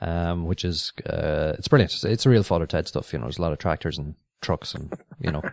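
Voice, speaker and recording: In an Irish accent, a man with a very deep, low pitch talks at a fairly quick pace and with lively intonation. The recording is very clean with a silent background and a dry, close sound with no echo. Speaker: podcast host. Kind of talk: casual chat.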